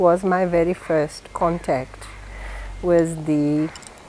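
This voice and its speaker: A woman talks over noticeable background noise. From northeast Brazil. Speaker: diplomat. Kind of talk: interview.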